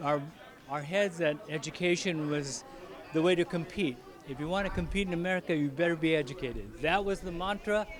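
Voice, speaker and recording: Noticeable background noise runs under the recording. A man talks at a fairly quick pace in a high voice with ordinary pitch variation. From Philippines. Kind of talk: interview answer.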